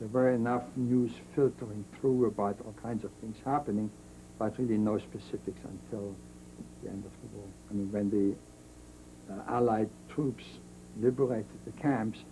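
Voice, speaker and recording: Somewhat breathy and dark, mellow in tone, a man with a fairly low pitch speaks at a moderate pace with fairly even intonation, big swings in loudness, and long, frequent pauses. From Germany. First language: German. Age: 70s. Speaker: Holocaust survivor. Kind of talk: interview testimony.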